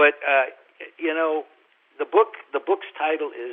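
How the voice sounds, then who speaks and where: This man talks with a New York accent. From New York (Brooklyn). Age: 70s. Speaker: film producer and author. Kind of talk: interview.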